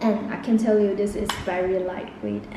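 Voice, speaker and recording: A woman talks with noticeable background noise in the recording. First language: not English. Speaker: beauty vlogger. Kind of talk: makeup review talk to camera.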